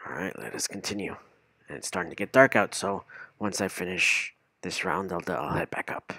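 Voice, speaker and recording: Whispering at a fairly quick pace, a man comes through with a dry, close sound and no echo. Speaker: Minecraft streamer. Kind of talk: casual gaming livestream commentary. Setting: streaming from home with headset and microphone. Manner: filler-heavy, rambling, halting.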